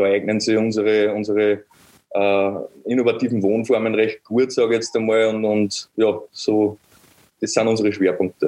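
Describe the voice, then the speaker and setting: A man with an Upper Austrian accent speaks at a moderate pace with long, frequent pauses, his fairly low, dark, mellow voice in a monotone, flat intonation at very even loudness. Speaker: construction startup founder. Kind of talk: interview.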